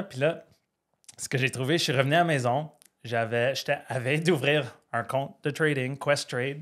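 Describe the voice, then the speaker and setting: A man with an Ottawa accent speaks at medium pitch. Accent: Ottawa French Canadian. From Ottawa, Canada (Franco-Ontarian). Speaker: firefighter and trader, podcast guest. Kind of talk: casual interview chat.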